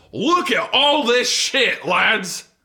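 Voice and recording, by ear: A man puts on a character voice at an extremely high pitch, bright and sharp in tone. He speaks at a very slow pace with big pitch swings.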